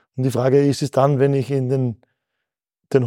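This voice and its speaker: A man speaks at a medium pitch in a dark, mellow tone. The sound is dry and close with no echo, on a very clean recording with a silent background. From Austria, Mühlviertel, Upper Austria. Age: 40s. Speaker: company founder. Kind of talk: interview.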